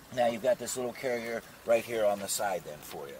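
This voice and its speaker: A man speaks fairly quickly, the sound dry with no echo and light background noise behind him. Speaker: RV salesperson. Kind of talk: product walkthrough. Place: street.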